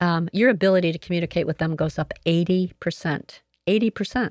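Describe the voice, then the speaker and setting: At a fairly quick pace and with ordinary pitch variation, the voice comes through dry and close with no echo, in a very clean recording with a silent background. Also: woman. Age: 60s. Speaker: retired sales entrepreneur and consultant. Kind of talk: podcast interview. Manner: bubbly; energetic.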